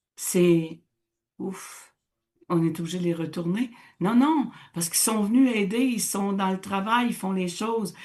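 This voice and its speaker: A somewhat breathy woman at medium pitch, fairly slow with long, frequent pauses and ordinary pitch variation. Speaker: radio host, teacher. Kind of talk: casual radio discussion. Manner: animated.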